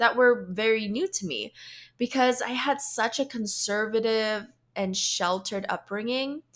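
A woman with an American accent and an ordinary speaking voice, fairly high in pitch with ordinary pitch variation, at a fairly slow pace, on a very clean recording with a silent background. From Philippines, then US. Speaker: podcast host, professional speaker. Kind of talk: solo podcast monologue.

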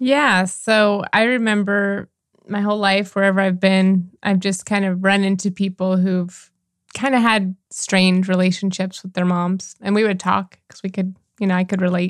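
A woman at a medium pitch and moderate pace, with monotone, flat intonation, on a very clean recording with a silent background. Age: 40s. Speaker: life and relationship coach, podcast co-host. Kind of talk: casual chat.

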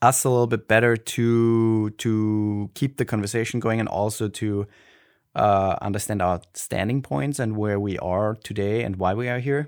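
In a very clean recording with a silent background, a man of medium pitch talks at a moderate pace with an Austrian accent and ordinary pitch variation. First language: Austrian German. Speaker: podcast co-host. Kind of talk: casual chat. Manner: halting, frequent fillers and restarts.

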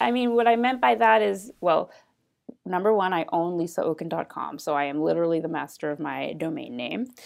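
Her pitch fairly low yet swinging very widely, a woman speaks at a moderate pace on a very clean recording with a silent background. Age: 30s. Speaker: mortgage agent. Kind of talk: interview conversation.

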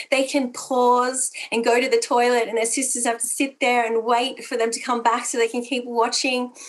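A woman with an Australian accent speaks at a moderate pace and fairly high pitch, her intonation monotone and flat against a quiet background. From Australia (Italian heritage). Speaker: pastor and counsellor. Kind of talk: church women's gathering talk.

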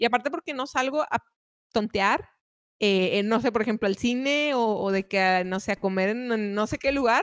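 A woman speaks in a normal speaking voice at a moderate pace, her fairly high pitch moving with ordinary variation, in a dry, close sound with no echo. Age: 20s. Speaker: rock musician. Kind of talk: casual chat.

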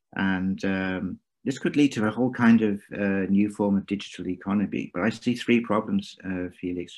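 Speaking with an English accent at a moderate pace, the voice has ordinary pitch variation and hardly any pauses against a quiet background. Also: man, fairly low pitch for a man. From England. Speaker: venture capital investor. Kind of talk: interview.

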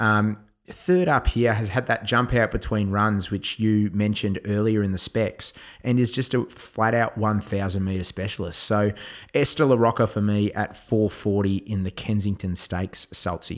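A man with an Australian accent, fairly low pitch, fairly slow pace and fairly even intonation, on a very clean recording with a silent background. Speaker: horse racing tipster podcast host. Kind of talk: casual chat.

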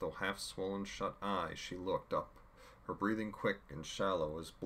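Unforced reading, pitch shifting in an ordinary way

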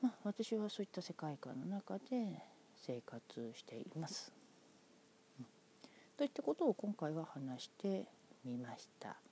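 At a fairly slow pace with long, frequent pauses, the voice has a dark, mellow tone, very wide pitch swings and big swings in loudness. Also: woman, fairly low pitch for a woman, dry, close sound with no echo. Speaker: podcaster. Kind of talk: solo monologue.

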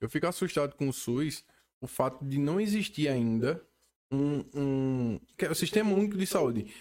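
Lively intonation marks a man's fairly high-pitched delivery at a moderate pace. His is an unremarkable speaking voice. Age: 30s. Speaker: podcast host. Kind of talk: casual interview. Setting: studio.

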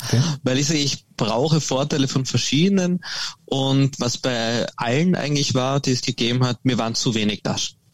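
A man speaks in a normal speaking voice at medium pitch. His pace is moderate and his pitch variation ordinary. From Austria. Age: 20s. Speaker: golf company founder. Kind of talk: interview.

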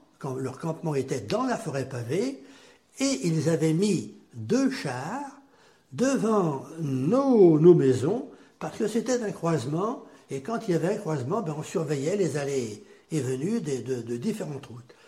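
Over audible room echo, a man with a fairly high pitch talks at a fairly slow pace, his voice swinging very widely. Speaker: grandfather sharing war memories. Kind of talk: testimony.

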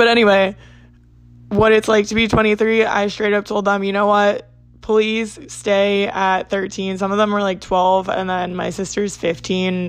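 Over music in the background, a woman with an American accent speaks fairly slowly at a medium pitch in a monotone, flat intonation. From US Northeast, South Jersey. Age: 20s. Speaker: podcast host. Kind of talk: casual solo chat. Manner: chatty, rambling.

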